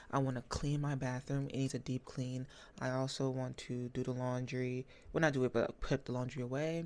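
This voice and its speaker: On a very clean recording with a silent background, a woman with a very deep, low voice talks fairly quickly in a flat monotone. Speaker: book vlogger. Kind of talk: casual vlog talk. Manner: fast.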